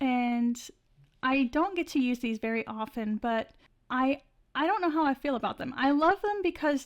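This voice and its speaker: A woman's high-pitched voice at a moderate pace, on a very clean recording with a silent background. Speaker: art channel creator. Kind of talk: art tutorial voiceover. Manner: casual, filler-heavy.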